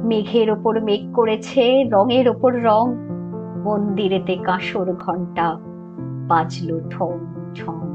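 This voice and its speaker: A woman speaks at a medium pitch with music in the background. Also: ordinary pitch variation. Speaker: poetry reciter. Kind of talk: poetry reading. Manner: soulful, nostalgic.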